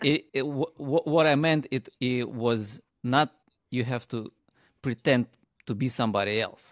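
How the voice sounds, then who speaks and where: A man speaks at a moderate pace with ordinary pitch variation and long, frequent pauses. The sound is dry with no echo, and the background is quiet. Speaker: podcast co-host and parent. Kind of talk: interview. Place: studio. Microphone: studio mic.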